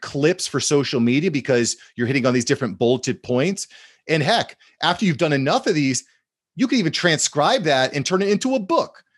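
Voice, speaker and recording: Male voice at a fairly high pitch, a normal speaking voice with lively intonation and a fairly quick pace, dry, close sound with no echo and a quiet background. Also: very even loudness. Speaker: social media content expert. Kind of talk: casual interview chat.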